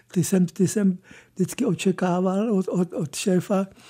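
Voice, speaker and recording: A man with a high pitch and a dark, mellow tone speaks at a fairly slow pace. The sound is dry and close with no echo, on a very clean recording with a silent background. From Prague. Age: 70s. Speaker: press photographer. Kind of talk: radio interview. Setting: studio. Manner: halting.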